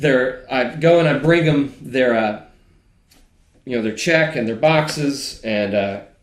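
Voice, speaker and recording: Fairly slow speech with an American accent and ordinary pitch variation, amid audible room echo. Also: man, medium pitch for a man. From Georgia, US (family from West Virginia). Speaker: data analyst. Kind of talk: casual conversation, storytelling.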